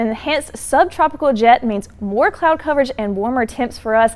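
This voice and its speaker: With lively intonation, a woman speaks at a moderate pace in a high voice. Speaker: TV meteorologist. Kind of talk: TV weather forecast.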